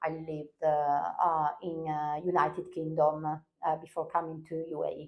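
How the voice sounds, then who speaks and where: A woman speaks at a moderate pace in a very deep, low voice with hardly any pauses. Her intonation stays flat and monotone. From northern Italy. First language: Italian. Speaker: language teacher. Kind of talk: interview. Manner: halting, many fillers.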